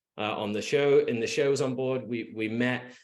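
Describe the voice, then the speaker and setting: A man with an English accent, medium pitch and a moderate pace. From England, Liverpool. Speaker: real estate agent. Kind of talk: podcast interview. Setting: podcast. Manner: halting, many fillers and restarts.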